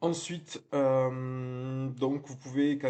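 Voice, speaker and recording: Monotone, flat intonation in a southern French accent. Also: man. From southern France. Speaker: real estate marketing trainer. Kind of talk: tutorial. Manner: conversational, frequent hesitations.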